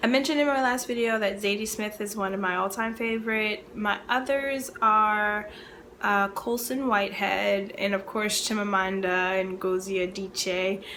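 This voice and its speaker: With audible room echo, a woman speaks at a moderate pace in a medium pitch and fairly even intonation. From Baltimore, Maryland, US. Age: 30s. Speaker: librarian and book video creator. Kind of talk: casual chat to camera (tag video).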